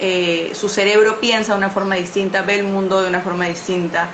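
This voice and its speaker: Over noticeable background noise and audible room echo, a woman talks at a medium pitch with monotone, flat intonation. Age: 20s. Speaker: journalist and mental health activist. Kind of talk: interview. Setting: livestream. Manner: halting, many fillers.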